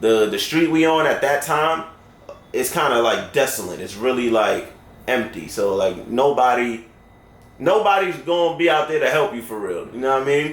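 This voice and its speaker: A man talks at a moderate pace in a fairly high pitch, with an animated tone and lively intonation. Noticeable background noise and audible room echo are present. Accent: New York. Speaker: storyteller. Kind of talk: storytelling. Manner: casual, animated.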